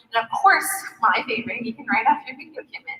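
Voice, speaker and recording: A woman speaks in a raised, projected voice at a very fast pace. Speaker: social media marketing speaker. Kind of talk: conference presentation. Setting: stage with audience.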